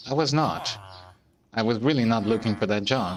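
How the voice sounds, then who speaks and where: Vocal fry runs through speech delivered at a moderate pace. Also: man. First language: not English. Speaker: gaming streamer. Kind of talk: casual gameplay commentary. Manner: halting, many fillers and repeated words.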